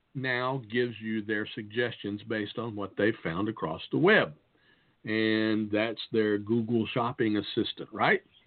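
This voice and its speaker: A man with a plain, everyday voice speaks at a medium pitch. His pace is fairly slow and his intonation fairly even. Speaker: podcast host. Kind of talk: casual chat.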